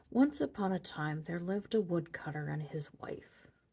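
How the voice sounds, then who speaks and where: Soft-spoken and somewhat breathy, this woman talks at a fairly low pitch. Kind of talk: soft-spoken ASMR storybook reading.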